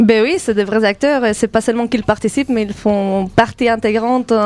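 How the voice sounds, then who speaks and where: An ordinary speaking voice keeps a fairly quick pace and fairly even intonation. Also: woman. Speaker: theatre director. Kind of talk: radio interview.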